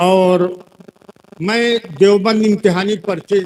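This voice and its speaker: A man's voice with ordinary pitch variation. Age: 70s. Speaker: Islamic cleric and madrasa teacher. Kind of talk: religious speech at mosque fundraising gathering. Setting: seated before a live gathering. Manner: less forceful than when young.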